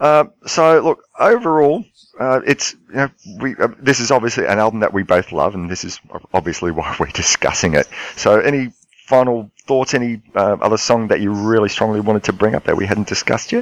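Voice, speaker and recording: With an Australian accent, a man talks at a fairly quick pace and medium pitch. His intonation is lively, and the sound is dry and close with no echo. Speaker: podcast host. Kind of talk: casual chat. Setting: Skype call.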